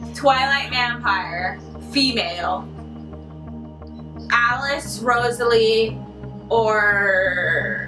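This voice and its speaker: Clear music sits in the background while the speech moves at a very slow pace with long, frequent pauses. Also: woman. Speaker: booktuber. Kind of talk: casual talk to camera. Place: home room. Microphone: camera far.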